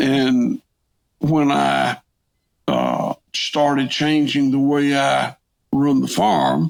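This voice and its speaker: In a Southern US accent, a man talks at a very slow pace with long, frequent pauses and very even loudness. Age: 60s. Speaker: farmer. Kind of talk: interview. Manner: halting, repetitive.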